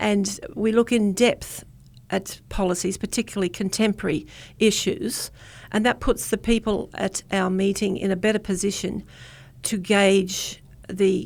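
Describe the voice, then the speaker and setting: Fairly even intonation and a fairly slow pace mark this speaker with an Australian accent, heard on a very clean recording with a silent background. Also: woman. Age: 70s. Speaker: community political organiser. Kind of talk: radio interview. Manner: halting.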